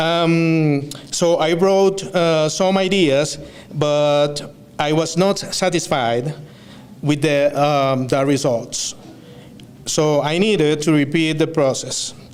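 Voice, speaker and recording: Against noticeable background noise, a man with a Venezuelan accent and a fairly high pitch speaks at a very slow pace with fairly even intonation. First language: Spanish. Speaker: student speaker. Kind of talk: graduation speech. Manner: halting, with many fillers and self-corrections.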